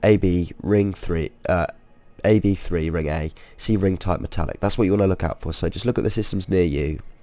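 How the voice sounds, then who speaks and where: Over music in the background, a man speaks with a very deep, low pitch. His pace is moderate, with ordinary pitch variation. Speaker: gamer. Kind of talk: game tutorial narration. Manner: hesitant, many fillers.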